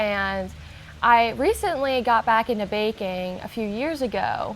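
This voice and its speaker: A woman with an American accent uses a normal speaking voice, fairly high in pitch, with ordinary pitch variation at a fairly slow pace. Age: 20s. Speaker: baker, small business owner. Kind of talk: interview answer.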